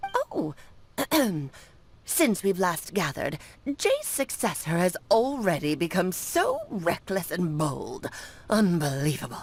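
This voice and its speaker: A woman uses a put-on character voice at a medium pitch. She speaks at a fairly slow pace with long, frequent pauses. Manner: imitating an old woman's voice.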